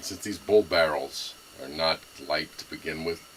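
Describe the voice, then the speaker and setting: The speaker has a Brooklyn accent and a moderate pace. Noticeable background noise runs underneath. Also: man. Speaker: gun enthusiast video maker. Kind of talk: casual show-and-tell. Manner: halting, many fillers.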